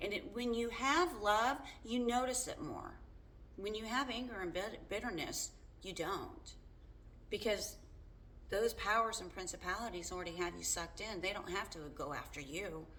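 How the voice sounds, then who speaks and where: Amid noticeable background noise and audible room echo, a woman talks at a fairly high pitch with lively intonation. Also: moderate pace. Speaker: faith vlogger. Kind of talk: casual monologue. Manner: loud; halting.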